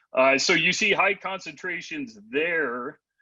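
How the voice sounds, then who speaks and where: Over a quiet background, a man with a fairly high pitch speaks very slowly in a bright, sharp tone. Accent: American. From Michigan. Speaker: limnologist, guest speaker. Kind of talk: lecture.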